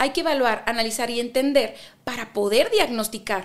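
Lively intonation marks this woman's speech, which has a northwestern Mexican accent. She talks at a moderate pace. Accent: northwestern Mexican (Baja California). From Ensenada, Baja California, Mexico. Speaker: psychotherapist. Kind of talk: interview.

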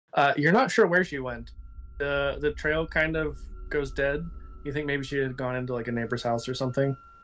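A man speaks with fairly even intonation. Noticeable background noise runs behind him. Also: fairly high pitch for a man, fairly quick pace. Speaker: game master storyteller. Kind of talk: tabletop roleplaying game stream. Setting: online stream.

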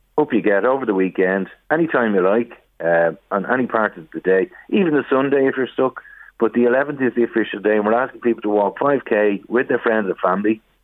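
A man with an Irish accent. His pitch moves in an ordinary way. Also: medium pitch for a man, fairly quick pace. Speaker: brother of a charity fundraiser. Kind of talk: radio phone interview. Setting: phone call.

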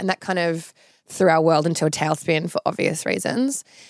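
Speaking at a fairly quick pace, a woman with an Australian accent has a fairly low pitch. The recording is very clean, with a silent background. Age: 30s. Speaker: reality TV personality and social media influencer. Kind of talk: casual interview.

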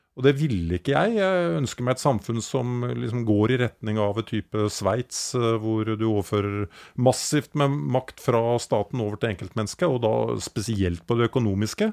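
The sound is dry and close, with no echo, as a man speaks in a normal speaking voice at a medium pitch with ordinary pitch variation. He keeps a moderate pace with hardly any pauses. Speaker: podcast co-host. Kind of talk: casual chat.

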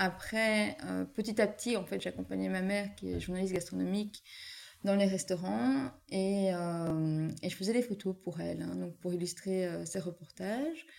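At a fairly slow pace, a woman talks in an ordinary speaking voice, her pitch medium and varying in an ordinary way. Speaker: wedding photographer. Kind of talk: casual interview. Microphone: sound problem during recording.

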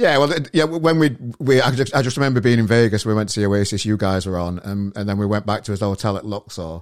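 A man with a Yorkshire accent speaks at a very fast pace with lively intonation and hardly any pauses, on a very clean recording with a silent background. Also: fairly low pitch for a man. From northern England. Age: 40s. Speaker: podcast host. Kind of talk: casual chat.

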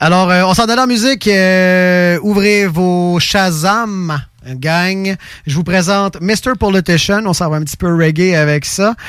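A man's high-pitched voice in a Quebec accent at a very slow pace. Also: ordinary pitch variation. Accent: Québécois French. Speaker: radio host. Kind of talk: casual chat. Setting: studio. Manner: animated.

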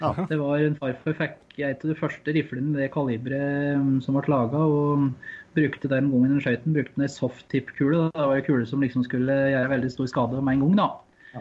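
A man with a fairly high pitch speaks quite quickly in a monotone, flat manner. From eastern Norway, Finnskogen. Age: 30s. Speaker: hunting association chairman. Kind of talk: interview.

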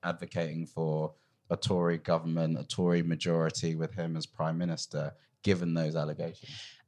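A man with a British accent and a very deep, low voice, over a quiet background. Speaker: podcast host. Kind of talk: political discussion podcast. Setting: live recording.

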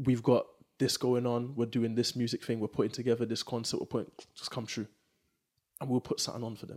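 A man at medium pitch rushes along very fast in a flat monotone, broken by long, frequent pauses. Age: 20s. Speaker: youth worker. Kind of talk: casual chat.

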